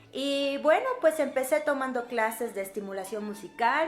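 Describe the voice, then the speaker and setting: A woman with lively intonation at a moderate pace, over noticeable background noise. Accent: Yucatecan. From Mexico, Yucatán (Mérida). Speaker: violinist and music teacher. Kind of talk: casual Q&A vlog. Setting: home recording, non-professional equipment.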